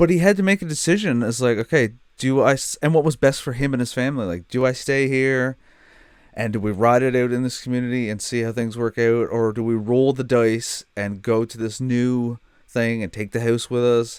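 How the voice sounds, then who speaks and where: Speaking in a Newfoundland accent, a man goes at a fairly quick pace with ordinary pitch variation. The recording is very clean, with a silent background. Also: medium pitch for a man. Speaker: streamer reacting to a TV show. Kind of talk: casual reaction commentary. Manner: animated.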